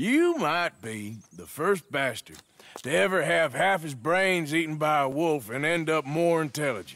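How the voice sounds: Using a put-on character voice, a man speaks at a fairly slow pace and fairly high pitch, with a fairly bright tone, big pitch swings and long, frequent pauses.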